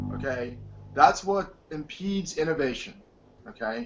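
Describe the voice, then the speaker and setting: Speaking at a fairly slow pace, a man with an American accent uses lively intonation. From Detroit, US Midwest. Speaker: wireless technologist. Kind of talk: interview. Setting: video call.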